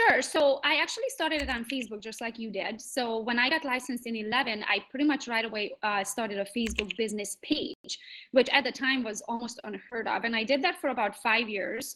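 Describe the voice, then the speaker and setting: A woman talks fairly quickly in a high pitch, with ordinary pitch variation and hardly any pauses. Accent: Hungarian. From Transylvania, Romania (Hungarian). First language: Hungarian. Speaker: real estate agent. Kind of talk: conference panel talk.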